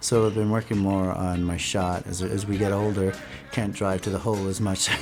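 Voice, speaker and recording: A man with an American accent, fairly low-pitched, at a moderate pace in a flat monotone, music playing in the background. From New York. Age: 40s. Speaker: web developer and basketball player. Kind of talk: documentary interview. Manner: halting.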